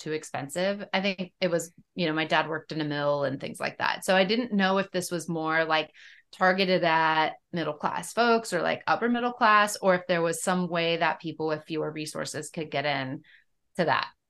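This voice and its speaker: At a moderate pace and a fairly low pitch, a woman with a plain, everyday voice speaks with ordinary pitch variation against a quiet background. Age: middle-aged. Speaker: podcast co-host. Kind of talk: casual chat.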